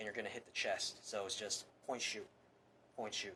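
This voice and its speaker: The pace is fairly quick as a man speaks. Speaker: firearms instructor. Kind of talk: tutorial. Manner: fast; casual, rambling demonstration.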